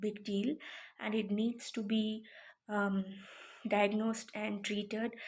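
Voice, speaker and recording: A somewhat breathy woman's voice at a fairly high pitch, very slow in pace, with monotone, flat intonation. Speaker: self-described psychic. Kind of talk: casual talk to camera. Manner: hesitant, stammering.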